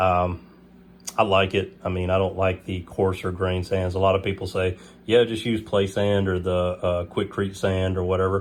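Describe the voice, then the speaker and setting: At a moderate pace, a man with a very deep, low pitch speaks in a monotone, flat intonation. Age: 30s. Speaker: aquarium hobbyist youtuber. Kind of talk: casual video tour. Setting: at home, bedroom. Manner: hesitant, many fillers.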